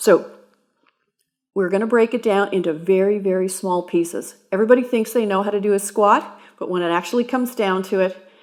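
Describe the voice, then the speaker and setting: A woman talks at a fairly quick pace in a normal speaking voice, medium in pitch and fairly even in intonation. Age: 60s. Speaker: personal trainer. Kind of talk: exercise tutorial.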